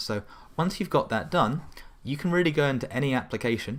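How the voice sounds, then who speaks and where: A man with a British accent talks at a fairly quick pace with ordinary pitch variation on a very clean recording with a silent background. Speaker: tech tutorial presenter. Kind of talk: tutorial. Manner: fast.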